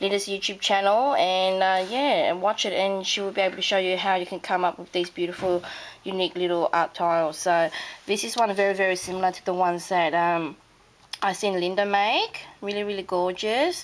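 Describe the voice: A woman with an Australian accent speaks at a moderate pace in a croaky voice of medium pitch and ordinary pitch variation.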